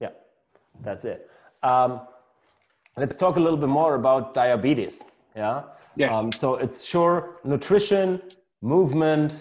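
A man with a German accent speaks fairly slowly in a fairly high pitch, with ordinary pitch variation. He leaves long, frequent pauses. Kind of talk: casual interview. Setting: video call. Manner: halting.

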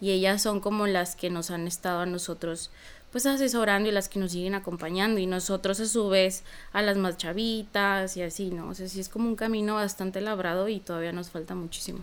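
At a fairly quick pace, a woman with a plain, everyday voice speaks at medium pitch with fairly even intonation. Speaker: psychologist and activist. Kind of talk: interview.

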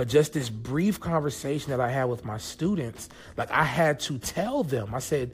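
Lively intonation runs through a man's medium-pitched voice. His voice is somewhat breathy. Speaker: podcast host. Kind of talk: casual solo podcast monologue. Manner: casual, conversational, filler-heavy.

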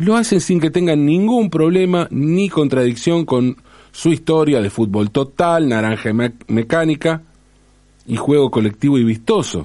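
A man's fairly high voice with a Rioplatense accent, dark and mellow in tone, with very wide pitch swings and very even loudness. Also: fairly slow pace. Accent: Argentine Rioplatense Spanish. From Argentina. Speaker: commentator on language and football. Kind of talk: monologue essay.

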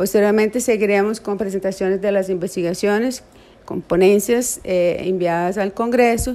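A woman's dark, mellow tone at a medium pitch, with fairly even intonation. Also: moderate pace. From Brazil. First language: Portuguese (speaking Spanish). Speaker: psychology professor. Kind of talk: interview. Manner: halting.

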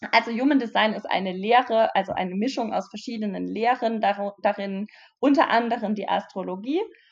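Her pitch fairly high, a woman talks at a fairly quick pace with ordinary pitch variation. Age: 30s. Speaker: online business mentor. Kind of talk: interview.

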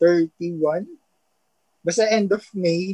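A man speaks with a high pitch and fairly even intonation. The sound is dry and close, with no echo. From Philippines, Taguig. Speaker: newlywed guest. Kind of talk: casual chat.

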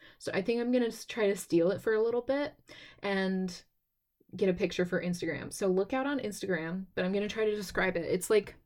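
In a plain, everyday voice, the speaker uses lively intonation at a fairly quick pace on a very clean recording with a silent background. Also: woman. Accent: American. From Texas. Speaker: podcast host. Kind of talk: casual solo podcast talk.

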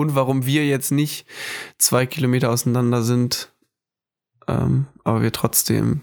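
With a medium pitch and monotone, flat intonation, a man speaks at very even loudness. He leaves long, frequent pauses. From northern Germany (Hamburg, Föhr). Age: 20s. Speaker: student, podcast co-host. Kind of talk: casual chat.

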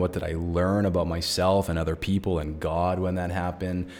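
A man's very deep, low voice, monotone and flat, at a fairly quick pace. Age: 30s. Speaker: recovery coach and podcast host. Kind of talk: solo podcast reflection.

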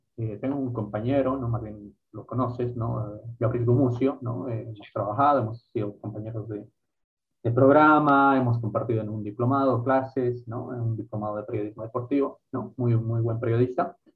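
Pace moderate and intonation fairly even, a man speaks at medium pitch in a normal speaking voice. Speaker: podcast host. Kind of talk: casual interview chat.

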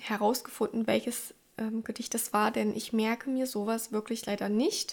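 The woman's fairly high voice holds a fairly even intonation. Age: 20s. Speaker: podcast host. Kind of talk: solo podcast talk.

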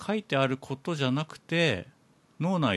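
The surroundings are quiet. A man's speech proceeds at a moderate pace. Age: 40s. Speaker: podcast host. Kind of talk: casual chat.

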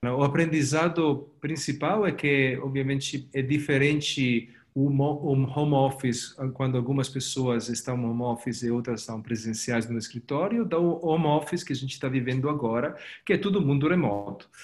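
The voice is somewhat breathy, with ordinary pitch variation. It moves at a moderate pace with hardly any pauses. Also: man. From Italy. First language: Italian (speaking Portuguese). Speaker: company executive. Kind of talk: interview. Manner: halting, many repetitions and fillers.

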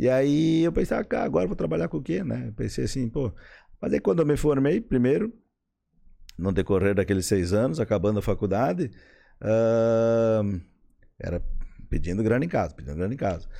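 With a dark, mellow tone and a fairly low pitch, a man speaks at a moderate pace with very wide pitch swings and long, frequent pauses over a quiet background. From western Santa Catarina, Brazil. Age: 50s. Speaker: plastic surgeon. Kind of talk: casual interview chat. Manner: halting, many repetitions.

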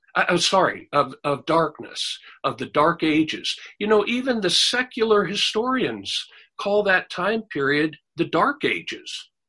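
In a raised, projected voice, a man with a high pitch and a bright, sharp tone speaks at a fairly slow pace, his pitch swinging very widely. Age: 60s. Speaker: preacher. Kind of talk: sermon.

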